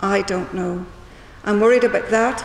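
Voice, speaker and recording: A woman with a Northern Irish accent speaks at a medium pitch, with audible room echo and noticeable background noise. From Northern Ireland. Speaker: small business owner. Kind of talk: public meeting speech. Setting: town hall public meeting.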